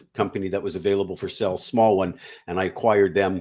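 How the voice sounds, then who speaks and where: Talking very fast, a man with a Canadian accent uses a fairly low pitch. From Canada. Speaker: business buyer and M&A advisor. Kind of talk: interview.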